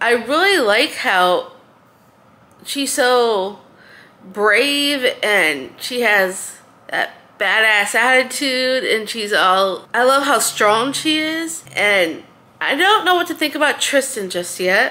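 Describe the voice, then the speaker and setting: Her pitch high, a woman speaks at a very slow pace with very wide pitch swings. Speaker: book vlogger. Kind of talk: casual vlog chat. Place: home room.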